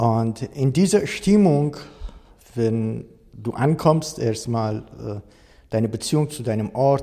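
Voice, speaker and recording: With a Persian accent, a man speaks at a medium pitch in a dark, mellow tone that is somewhat breathy, his pitch varying in an ordinary way. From Iran. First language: Persian (speaking German). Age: 60s. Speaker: coach and trainer on racism. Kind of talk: interview. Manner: hesitant with fillers.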